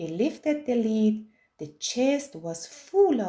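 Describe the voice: Someone reads aloud. The reading is plain.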